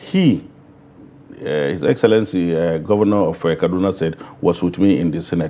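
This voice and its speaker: A man with a northern Nigerian accent at a fairly quick pace. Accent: northern Nigerian (Hausa) English. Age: 60s. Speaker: politician. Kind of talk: interview.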